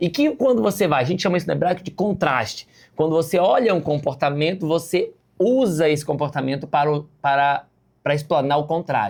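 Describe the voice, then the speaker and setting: On a very clean recording with a silent background, a man speaks at a fairly quick pace in an animated tone. His fairly high pitch carries lively intonation, and his loudness stays very even. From Rio de Janeiro, Brazil. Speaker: pastor. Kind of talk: bible lesson.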